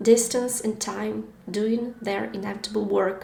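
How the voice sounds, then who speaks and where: A woman with a Ukrainian accent at medium pitch, speaking fairly slowly in a flat monotone, with audible room echo and noticeable background noise. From Ukraine. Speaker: podcast host. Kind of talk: personal narration.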